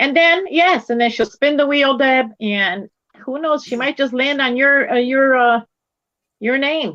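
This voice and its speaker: A woman speaks fairly slowly in a high, bright, sharp voice with ordinary pitch variation. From Poland, moved to US at age 7. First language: Polish. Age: 50s. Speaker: crochet live-stream co-host. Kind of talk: casual chat. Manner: animated.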